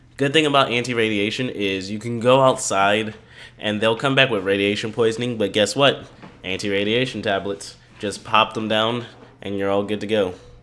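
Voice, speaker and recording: A man speaks in an ordinary speaking voice, pitched fairly low. His intonation stays fairly even at a moderate pace. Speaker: gaming YouTuber. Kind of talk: let's play commentary.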